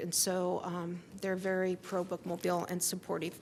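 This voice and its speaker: Someone speaks at a moderate pace with a Midwestern US accent. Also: woman. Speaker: library director. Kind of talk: presentation to council.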